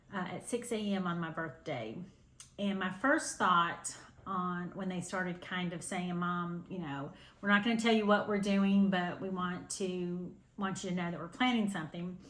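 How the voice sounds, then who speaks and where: A woman speaks at medium pitch. Audible room echo is heard. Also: ordinary pitch variation, moderate pace. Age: 60s. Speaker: cross-stitch video host. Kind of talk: casual chat to camera. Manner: hesitant, many fillers.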